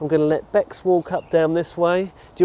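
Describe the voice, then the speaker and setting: A man with an English accent is recorded in a dry, close sound with no echo. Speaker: narrowboat vlogger. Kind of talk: product review vlog; casual chat. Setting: outdoors. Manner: loud.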